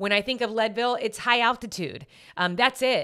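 Fairly quick speech from a woman with a bright, sharp tone. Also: very clean recording, silent background. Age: 40s. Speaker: podcast host and ultrarunner. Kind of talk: casual chat.

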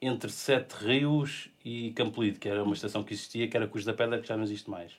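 The speaker is a man talking very fast. He keeps his intonation fairly even. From Portugal, Lisbon area. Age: 40s. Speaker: illustrator with a bionic arm. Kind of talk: casual interview chat. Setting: studio.

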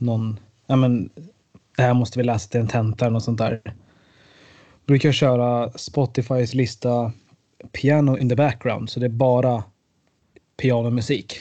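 A man's dark, mellow voice at medium pitch, with a moderate pace and flat, monotone intonation. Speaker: student, podcast co-host. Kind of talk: casual chat.

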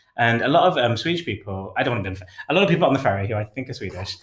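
A man talks at a very fast pace in an East Midlands accent. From England, Derby (East Midlands). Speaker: podcast co-host. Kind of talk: casual chat.

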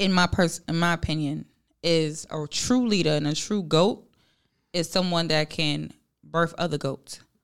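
Speaking in an American accent, a woman has an ordinary speaking voice at a fairly low pitch, with fairly even intonation and a fairly slow pace. The recording is very clean, with a silent background. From New York. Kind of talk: casual chat.

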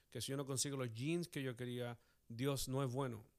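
At a moderate pace, a man speaks in an unremarkable speaking voice with a fairly high pitch. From Chile. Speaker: pastor. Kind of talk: casual chat.

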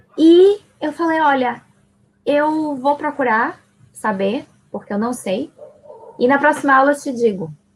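A woman's high-pitched voice with lively intonation, at a fairly slow pace with long, frequent pauses. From Salvador, Bahia, Brazil. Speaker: teacher. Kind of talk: casual chat.

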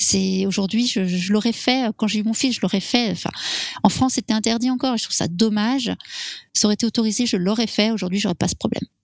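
Talking at a very fast pace, a woman with a fairly high voice keeps her intonation fairly even, and the sound is dry and close with no echo. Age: 40s. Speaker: interviewee sharing fertility story. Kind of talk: personal testimony. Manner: halting, many hesitations.

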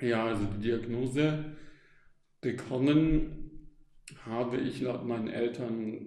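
At a very slow pace, a man with a medium pitch and a dark, mellow tone speaks with fairly even intonation amid audible room echo. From Stuttgart area, southern Germany. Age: 20s. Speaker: psychologist in psychotherapy training. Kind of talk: interview. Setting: recorded live at a self-help event. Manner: hesitant, many fillers.

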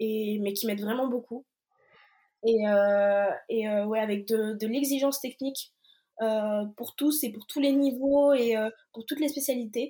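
At a fairly slow pace, a woman with a fairly high pitch and a dark, mellow tone speaks with ordinary pitch variation and long, frequent pauses. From Brittany, France. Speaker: athlete. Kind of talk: interview.

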